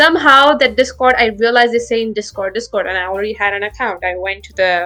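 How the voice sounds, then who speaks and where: A woman talks very fast in a fairly high voice with ordinary pitch variation. Her loudness swings a lot, and music plays in the background. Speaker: podcast guest, former community staff member. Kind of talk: casual chat. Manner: animated.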